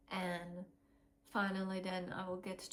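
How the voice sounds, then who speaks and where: Very slow speech comes with a non-native accent. The voice is somewhat breathy. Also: woman. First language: not English. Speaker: vlogger sharing fertility journey. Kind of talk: personal testimony vlog. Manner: hesitant, many fillers.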